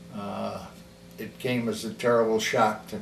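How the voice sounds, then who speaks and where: A man with an American accent talks at a very slow pace and medium pitch. Audible room echo and noticeable background noise fill the recording. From US Midwest, Kalamazoo, Michigan. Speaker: grandparent telling life story. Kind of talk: oral history interview. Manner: halting.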